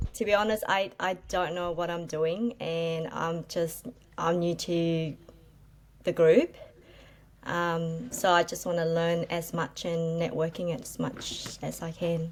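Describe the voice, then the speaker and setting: With an Australian accent, a woman speaks at a very slow pace in a fairly low voice with fairly even intonation. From Australia, Melbourne. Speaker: property flipper. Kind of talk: casual chat. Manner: hesitant, many fillers.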